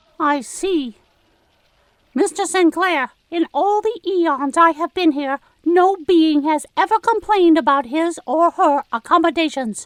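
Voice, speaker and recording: A woman puts on a character voice at an extremely high pitch. She talks at a fairly slow pace. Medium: audio drama. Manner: formal, clipped.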